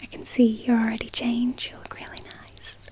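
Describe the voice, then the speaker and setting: The voice has a gentle tone. Noticeable background noise is present. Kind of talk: ASMR role-play of a friend doing the listener's makeup. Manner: friendly, gentle, caring.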